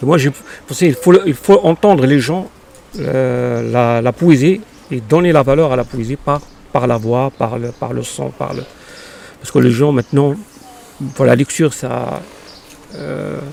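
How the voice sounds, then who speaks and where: Over noticeable background noise, a man at medium pitch talks at a fairly slow pace, with ordinary pitch variation and long, frequent pauses. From Morocco, Casablanca. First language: Arabic (speaking French). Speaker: poet. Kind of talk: interview. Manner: halting, many hesitations.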